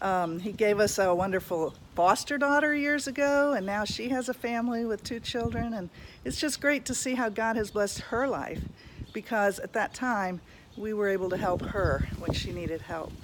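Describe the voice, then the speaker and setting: Her voice sits fairly high, with a warm tone and lively intonation at a moderate pace. The recording is very clean, with a silent background. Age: 60s. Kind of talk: inspirational video talk. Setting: outdoors. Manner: warm, halting with repetitions.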